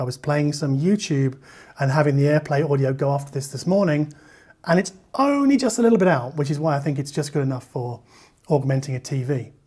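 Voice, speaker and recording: A man's fairly high, somewhat breathy voice with a dark, mellow tone. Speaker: audio reviewer. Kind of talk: product review. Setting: kitchen at home. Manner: fast.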